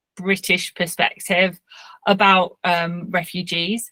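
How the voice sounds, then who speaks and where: With a bright, sharp tone, a woman speaks at a fairly slow pace, the sound dry and close with no echo. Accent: English. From England. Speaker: cartoonist. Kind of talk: lecture.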